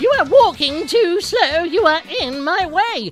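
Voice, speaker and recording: A female-sounding put-on character voice, extremely high in pitch, moves at a fairly slow pace. Faint music plays in the background. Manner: rude, scolding.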